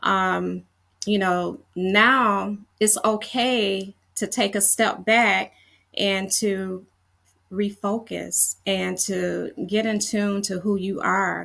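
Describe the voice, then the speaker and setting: A woman speaks very slowly at a medium pitch, her flat, monotone delivery carrying a bright, sharp tone. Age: 60s. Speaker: fitness coach. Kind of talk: casual chat. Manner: halting, many fillers.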